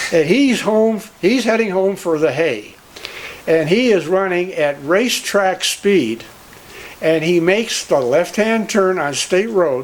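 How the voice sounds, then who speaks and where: Against noticeable background noise, a man speaks fairly slowly in a high pitch, with lively intonation and very even loudness. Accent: American. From Cleveland, Ohio. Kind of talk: storytelling.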